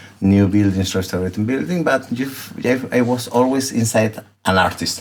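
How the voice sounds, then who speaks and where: Noticeable background noise runs under this recording. A man speaks at a medium pitch and moderate pace with ordinary pitch variation. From southern Chile, Concepcion. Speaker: artist, former architect. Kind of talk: casual interview. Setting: artist's studio. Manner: halting.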